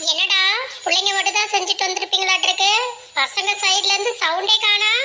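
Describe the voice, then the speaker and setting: In a cartoonish character voice pitched extremely high, a woman speaks with monotone, flat intonation over clear background noise. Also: moderate pace. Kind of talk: cartoon comedy acting. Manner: scolding, bossy.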